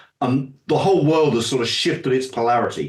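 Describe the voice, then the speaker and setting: This man speaks at a fairly quick pace and a medium pitch with a British accent. His voice is somewhat breathy, with lively intonation. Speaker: finance expert and author. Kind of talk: interview.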